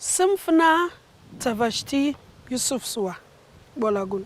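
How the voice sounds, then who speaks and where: Someone talks at a very slow pace with noticeable background noise. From Nigeria, Jos, Plateau State. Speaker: spoken word performer. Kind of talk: spoken word performance in Nigerian Pidgin.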